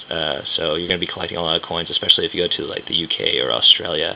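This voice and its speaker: A man mumbles in a very deep, low voice with an American accent. Noticeable background noise runs underneath. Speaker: budget backpacking traveler reviewing gear. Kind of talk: casual talk to camera, gear demonstration. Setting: filmed at home late at night. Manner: mumbling.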